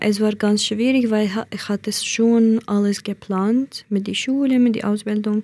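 Speaking fairly slowly with a Kurdish accent, a woman delivers her words in a flat monotone with a dark, mellow tone. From Iraqi Kurdistan. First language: Kurdish (speaking German). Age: 20s. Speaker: asylum seeker. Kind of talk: interview testimony. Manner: hesitant, with fillers.

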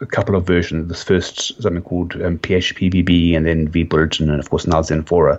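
This man speaks with a South African accent at a fairly quick pace. His pitch is very deep and low. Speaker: website founder.

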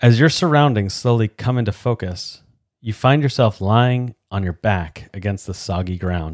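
This man has a plain, everyday voice, pitched fairly low, with lively intonation. He speaks at a moderate pace, and the sound is dry and close with no echo. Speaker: podcast host and doctoral candidate. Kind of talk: dramatic narration reading aloud from a game book.

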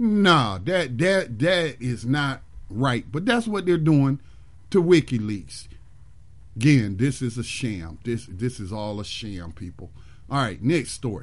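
A speaker with an American accent talks at a fairly slow pace, the pitch swinging very widely. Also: man, medium pitch for a man. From Detroit, US Midwest. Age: 50s. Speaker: radio host. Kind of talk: solo talk radio commentary. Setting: live internet radio stream.

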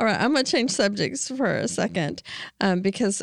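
This is a woman speaking. Her voice has vocal fry. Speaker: podcast co-host. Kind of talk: casual interview.

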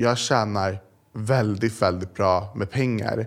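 In a plain, everyday voice, a man speaks at a fairly slow pace with medium pitch and ordinary pitch variation, on a very clean recording with a silent background. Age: young. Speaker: influencer. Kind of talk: interview.

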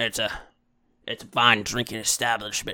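Here a man puts on a character voice. His pace is moderate. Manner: hiccupping.

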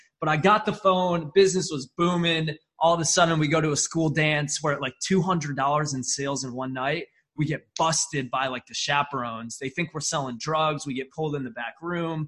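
A man speaks at a moderate pace in a normal speaking voice, his pitch fairly high with ordinary variation. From upstate New York. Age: 20s. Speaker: marketing agency founder. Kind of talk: podcast interview. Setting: remote video call.

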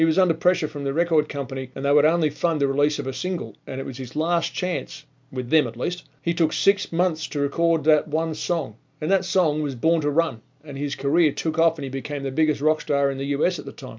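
A man's fairly high-pitched voice with an Australian accent, at a fairly quick pace. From Australia (Melbourne). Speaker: motivational podcast host. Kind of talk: motivational monologue. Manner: animated.

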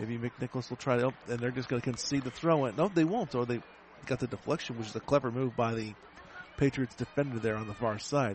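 A man talks at a very fast pace. His pitch sits in the middle range and varies in an ordinary way. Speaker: radio sports broadcaster. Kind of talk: live sports commentary. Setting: stadium, radio broadcast. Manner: fast, rapid-fire play-by-play; clipped, energetic.

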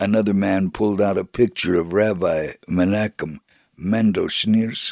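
A natural reading voice shows ordinary pitch variation, and the background is quiet.

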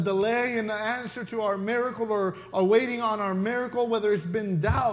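A man with a Mexican accent, high-pitched, at a fairly quick pace, with ordinary pitch variation. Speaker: pastor. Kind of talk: sermon. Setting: church.

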